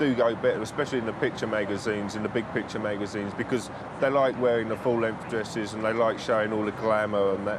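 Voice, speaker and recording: Over noticeable background noise and audible room echo, a man at a medium pitch speaks very fast with fairly even intonation. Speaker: press photographer. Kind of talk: documentary interview. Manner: loud.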